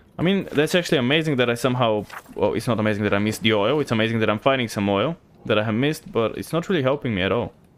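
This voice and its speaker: A man's very fast speech with a slight Bulgarian accent, medium pitch, and lively intonation. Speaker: gaming streamer. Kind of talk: live gameplay commentary. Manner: casual, filler-heavy.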